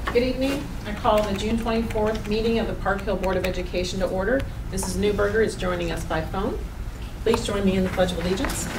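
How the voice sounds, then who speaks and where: A woman talks at a very fast pace. Noticeable background noise sits under her voice. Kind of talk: formal meeting chairing. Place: meeting room. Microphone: podium.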